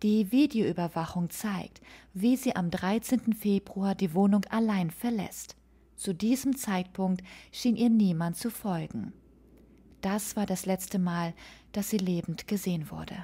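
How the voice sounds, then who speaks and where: A woman's dark, mellow, somewhat breathy voice carries a solemn, serious tone at a medium pitch, moving very slowly with ordinary pitch variation on a very clean recording with a silent background. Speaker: true crime podcaster. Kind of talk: true-crime narration, scripted-style storytelling of a murder case. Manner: solemn, measured and serious, sombre storytelling tone.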